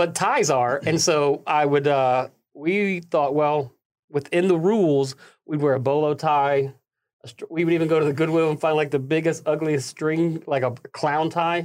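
A man with a fairly high pitch in a Southern US accent, at a moderate pace with fairly even intonation. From US South, Tennessee and northern Alabama. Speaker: pastor. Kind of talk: casual interview chat.

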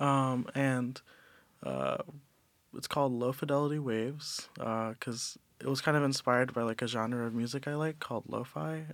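A man with an American accent speaks in a plain, everyday voice at a medium pitch and moderate pace, with fairly even intonation. The recording is very clean, with a silent background. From US Midwest, Cleveland, Ohio. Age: 20s. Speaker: college student. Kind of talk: casual chat.

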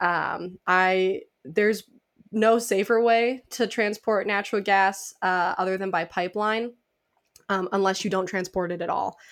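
A woman with a plain, everyday voice speaks at a medium pitch and a fairly slow pace, her intonation fairly even, on a very clean recording with a silent background. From Illinois, US Midwest. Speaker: nuclear engineering PhD student and advocate. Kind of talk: interview.

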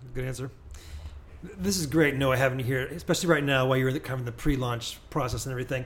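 With a Midwestern US accent, a man speaks very fast at a medium pitch, somewhat breathy, with ordinary pitch variation and audible room echo. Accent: US Midwest. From Springfield, Illinois. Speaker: pastor and podcast host. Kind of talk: interview.

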